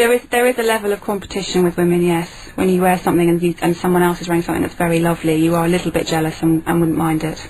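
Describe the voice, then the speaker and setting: Over noticeable background noise, the speech races at a very fast pace with ordinary pitch variation and hardly any pauses. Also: woman, fairly low pitch for a woman. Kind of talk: radio guest conversation.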